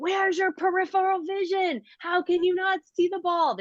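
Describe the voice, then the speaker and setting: Shouting in a put-on character voice at an extremely high pitch, the speaker keeps a moderate pace. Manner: yelling, berating.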